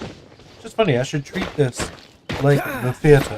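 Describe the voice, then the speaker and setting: Mumbling at a very slow pace, a man with a medium-pitched voice and ordinary pitch variation is heard with audible room echo and noticeable background noise. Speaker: gamer streamer. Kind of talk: gameplay commentary. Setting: home gaming setup, wearing headphones. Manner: casual.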